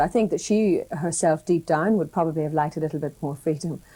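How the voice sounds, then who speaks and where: A woman with a Northern Irish accent speaks very fast in a fairly low pitch, her tone dark and mellow, with ordinary pitch variation. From Northern Ireland. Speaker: broadcaster. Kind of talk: interview answer.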